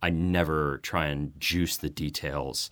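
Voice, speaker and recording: A man with a Boston accent speaks in a very deep, low voice with a bright, sharp tone, vocal fry, and fairly even intonation. The recording is very clean with a silent background. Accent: American, Boston area. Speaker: nonfiction author and journalist. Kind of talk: interview.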